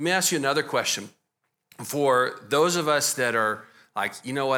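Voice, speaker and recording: On a very clean recording with a silent background, a man with a Texas accent speaks in a bright, sharp tone with ordinary pitch variation. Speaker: pastor. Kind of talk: church interview. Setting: church with congregation.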